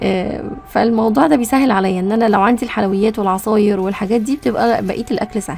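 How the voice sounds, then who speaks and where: With an Egyptian accent, a woman races along at a very fast pace with hardly any pauses, her fairly high pitch showing ordinary variation over noticeable background noise. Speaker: cooking vlogger. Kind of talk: casual cooking vlog narration. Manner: chatty.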